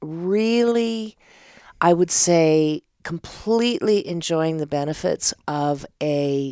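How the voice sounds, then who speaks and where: With a Canadian accent, the speaker talks very slowly in a dark, mellow tone, the sound dry and close with no echo. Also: woman. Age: 60s. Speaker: theatre artist and director. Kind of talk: casual interview chat.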